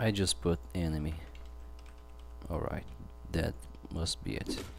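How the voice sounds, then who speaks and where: Speaking at a very slow pace with a non-native accent, a man sounds somewhat breathy and uses lively intonation. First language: not English. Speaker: game developer. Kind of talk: live coding tutorial. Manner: halting.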